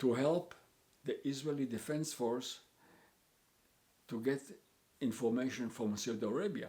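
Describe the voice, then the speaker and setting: A man's dark, mellow tone at a moderate pace, with long, frequent pauses. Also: medium pitch for a man, ordinary pitch variation. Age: 80s+. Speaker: interviewee telling life story. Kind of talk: life story interview. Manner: halting, with many repeats and fillers.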